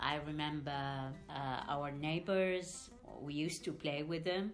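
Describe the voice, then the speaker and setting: Audible room echo surrounds the woman's voice. She speaks at a fairly slow pace with a very deep, low pitch. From Iraq, Baghdad. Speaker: refugee, diplomacy adviser. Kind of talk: interview testimony. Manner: hesitant with fillers.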